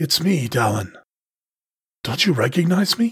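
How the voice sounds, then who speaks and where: A raspy, put-on character voice with very wide pitch swings at a moderate pace. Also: man, fairly high pitch for a man. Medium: read story. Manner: soft, hypnotic, steady.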